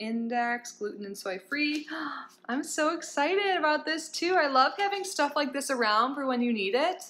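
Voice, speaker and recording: At a moderate pace, a woman speaks with very wide pitch swings. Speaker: product unboxing vlogger. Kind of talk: casual vlog chat. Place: home room. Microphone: phone near.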